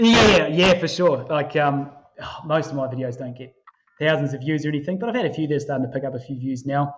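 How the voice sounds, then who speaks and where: A man talks at a very fast pace in a fairly high voice, with ordinary pitch variation. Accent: New Zealand. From New Zealand. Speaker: finance YouTuber. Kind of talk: casual chat.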